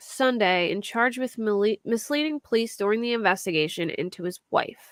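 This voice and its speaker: Recorded with a dry, close sound and no echo, a woman with a Philadelphia accent talks at a moderate pace and a fairly high pitch with ordinary pitch variation. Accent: Philly accent, moderate. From US Northeast, Philadelphia area. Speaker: true crime YouTuber. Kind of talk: casual livestream chat about crime cases.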